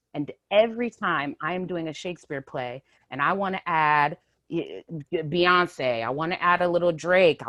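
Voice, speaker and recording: A woman with a fairly low pitch speaks at a moderate pace in a bright, sharp, animated tone, recorded dry and close with no echo. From San Francisco Bay Area, California. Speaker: theater director. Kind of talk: online panel discussion. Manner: animated, with many fillers.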